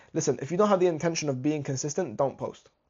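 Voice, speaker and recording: The man has a fairly high pitch and ordinary pitch variation. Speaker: business content coach. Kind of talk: tutorial. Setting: screen recording. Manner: fast; halting.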